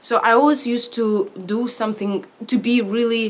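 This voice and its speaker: A woman with a Ukrainian accent, fairly high in pitch, at a moderate pace with fairly even intonation. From Ukraine, Vinnytsia. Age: 20s. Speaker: actor. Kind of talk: interview testimony. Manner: halting, with frequent fillers and restarts.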